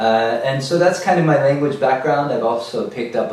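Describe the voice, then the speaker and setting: Noticeable background noise sits under this recording. A man's voice also carries audible room echo. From born in America, French spoken at home. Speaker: language meetup organizer. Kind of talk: casual video introduction.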